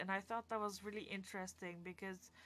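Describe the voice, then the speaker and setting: Over music in the background, a woman speaks with a non-native accent in a monotone, flat intonation. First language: not English. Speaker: podcast host. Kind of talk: casual solo talk. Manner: rambling with fillers and false starts.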